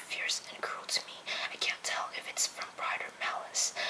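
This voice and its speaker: Whispering comes at a moderate pace. Noticeable background noise is present. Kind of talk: book reading, poetry reading aloud. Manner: soft-spoken, whispered.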